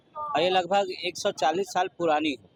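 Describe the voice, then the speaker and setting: Recorded dry and close with no echo, a man's high-pitched voice carries lively intonation over noticeable background noise. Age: 60s. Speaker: local temple devotee. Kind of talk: news interview.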